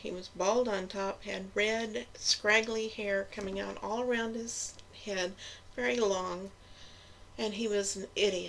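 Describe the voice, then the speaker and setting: Noticeable background noise runs under the recording. A woman speaks fairly slowly at a medium pitch with ordinary pitch variation. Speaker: vlogger. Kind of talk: casual chat. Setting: laundry room at home. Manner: soft-spoken.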